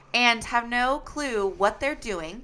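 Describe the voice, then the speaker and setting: Loud and animated, a woman's fairly high voice makes very wide pitch swings with a bright, sharp tone in a very clean recording with a silent background. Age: 20s. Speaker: schoolteacher. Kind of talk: casual chat.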